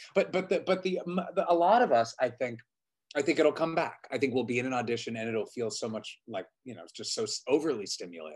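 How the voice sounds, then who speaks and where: Talking at a very fast pace, a man shows vocal fry, very wide pitch swings, and big swings in loudness. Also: quiet background. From Pittsburgh; Pennsylvania. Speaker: Broadway actor and audition coach; Broadway actor, audition coach. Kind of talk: casual interview. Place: home room. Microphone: video call.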